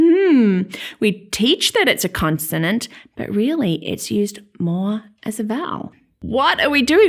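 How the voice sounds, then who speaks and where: A woman with an Australian accent, a fairly high pitch, and very wide pitch swings. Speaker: teacher. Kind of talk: educational vlog. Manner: animated.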